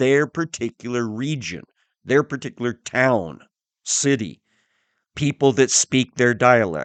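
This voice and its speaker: Against a quiet background, a man uses a normal speaking voice at a medium pitch with an American accent. He speaks at a fairly slow pace, and the sound is dry and close with no echo. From US Midwest, southern Missouri. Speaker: Bible teacher. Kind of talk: Bible teaching podcast. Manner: conversational, with frequent fillers.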